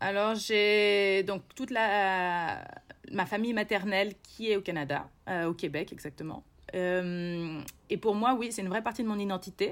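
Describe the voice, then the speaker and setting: A woman talks in a mid-range pitch at a rather unhurried pace, her pitch moving in a normal way. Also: very clean recording, silent background. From central France, Berry (Bourges). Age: 30s. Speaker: polar expedition guide and lecturer. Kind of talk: interview. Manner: hesitant, many fillers.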